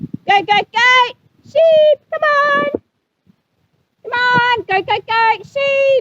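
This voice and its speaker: In a squeaky, put-on character voice at an extremely high pitch, a woman talks at a very slow pace with long, frequent pauses, the sound dry and close with no echo. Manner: hollering, urgent.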